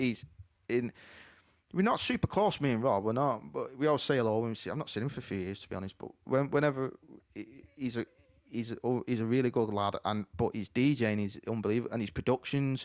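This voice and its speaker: Speaking at a very fast pace, a man holds a medium pitch with ordinary pitch variation. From St Helens, northern England. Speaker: DJ. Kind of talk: podcast interview. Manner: animated.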